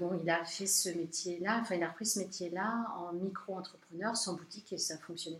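A woman's ordinary speaking voice at a medium pitch, moderate pace and fairly even intonation. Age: 40s. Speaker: art gallery and framing shop owner. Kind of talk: interview. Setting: in her shop.

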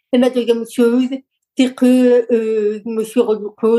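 A fairly high-pitched woman with monotone, flat intonation. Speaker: lawyer, coach and public speaker. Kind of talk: interview conversation.

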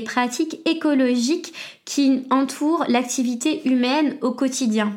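Speaking at a very slow pace, a woman has a high voice with ordinary pitch variation. Audible room echo surrounds her. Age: 20s. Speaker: podcast host. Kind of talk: solo educational monologue.

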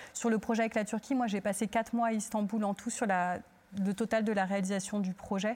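Fairly high-pitched and somewhat breathy, a woman talks at a fairly quick pace with very even loudness and monotone, flat intonation. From Turkey. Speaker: theatre director. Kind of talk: panel discussion.

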